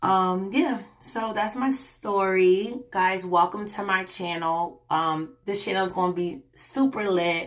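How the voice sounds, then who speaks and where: A woman speaks at a medium pitch and a very slow pace, with ordinary pitch variation, hardly any pauses, and noticeable background noise. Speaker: vlogger. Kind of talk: personal vlog. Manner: halting, many fillers.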